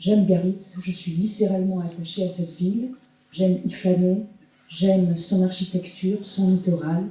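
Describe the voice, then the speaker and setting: A woman's dark, mellow, somewhat breathy voice stays monotone and flat. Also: medium pitch for a woman, moderate pace. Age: 60s. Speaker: retired project manager, election candidate. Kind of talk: self-introduction speech.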